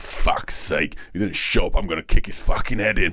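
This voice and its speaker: With light background noise, a man uses a raspy, put-on character voice. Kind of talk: audiobook narration. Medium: read story.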